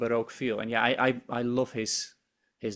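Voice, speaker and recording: In a Frisian accent, a man speaks at a medium pitch with monotone, flat intonation on a very clean recording with a silent background. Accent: Dutch (Frisian) English. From Netherlands, Friesland. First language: Dutch or Frisian. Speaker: embroidery designer. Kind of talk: interview chat. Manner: halting, repeats words.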